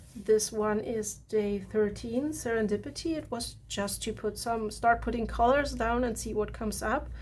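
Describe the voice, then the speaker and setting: A woman with a German accent, at a moderate pace and with hardly any pauses. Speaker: art journaling creator. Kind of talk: casual tutorial walkthrough. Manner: relaxed, halting with fillers.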